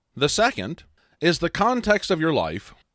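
A man with a Midwestern American accent on a very clean recording with a silent background. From US Midwest, small town. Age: 30s. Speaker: podcast host, life coach. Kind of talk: solo philosophy podcast monologue.

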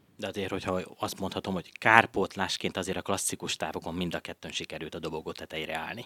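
Over a silent background in a very clean recording, a man talks at a very fast pace with a very deep, low pitch, a bright, sharp tone and fairly even intonation. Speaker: radio host. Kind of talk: radio interview. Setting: studio.

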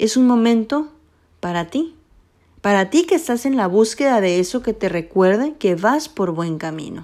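This voice has a dark, mellow tone and lively intonation at a fairly slow pace. The recording is very clean, with a silent background. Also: woman. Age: 20s. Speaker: podcast host. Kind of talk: personal monologue.

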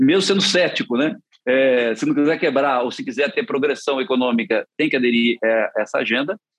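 At a moderate pace, a man with a plain, everyday voice speaks at a fairly high pitch with lively intonation. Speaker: politician. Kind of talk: interview.

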